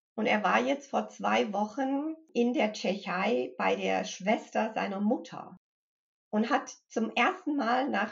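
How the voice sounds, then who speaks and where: A woman's fairly high voice with vocal fry, lively intonation, and a very slow pace. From US Midwest and Connecticut, moved to Germany at 15. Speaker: mindfulness trainer and grief counselor. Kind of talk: interview conversation.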